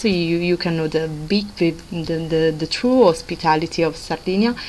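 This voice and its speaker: A woman with a plain, everyday voice at a fairly low pitch, fairly even intonation and a moderate pace, with light background noise. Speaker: travel blogger. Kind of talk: casual vlog chat.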